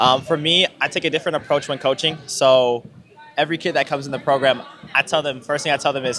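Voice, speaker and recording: Over noticeable background noise, a man talks at a very fast pace, his fairly high pitch held to fairly even intonation. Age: young (18). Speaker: youth basketball club founder and coach. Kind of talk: interview.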